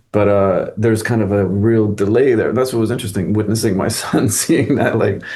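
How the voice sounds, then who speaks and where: Amid audible room echo, a man with a fairly low, dark, mellow voice talks at a fairly quick pace with fairly even intonation. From Quebec. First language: French. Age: 40s. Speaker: actor, director and acting teacher. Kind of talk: interview conversation. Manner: casual, filler-heavy.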